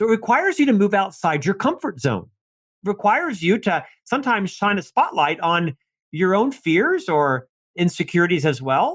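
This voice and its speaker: Very wide pitch swings run through this man's high voice. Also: moderate pace, very even loudness. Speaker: leadership author. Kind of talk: podcast interview. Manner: animated.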